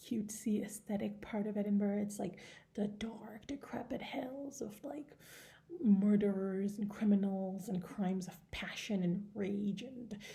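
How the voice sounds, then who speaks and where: Spoken at a fairly slow pace with a non-native accent, the clip has audible room echo. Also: woman. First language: not English. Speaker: book vlogger. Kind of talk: casual chat. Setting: indoors at home. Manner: hesitant, many fillers.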